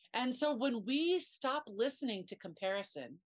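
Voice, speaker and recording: The pitch of a woman's voice swings very widely as she talks. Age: 50s. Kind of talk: casual chat.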